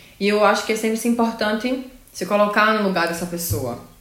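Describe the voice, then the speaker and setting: At a moderate pace, a woman talks at medium pitch with ordinary pitch variation, with audible room echo and noticeable background noise around her. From Brazil, Pernambuco. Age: 20s. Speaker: nurse. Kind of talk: casual chat.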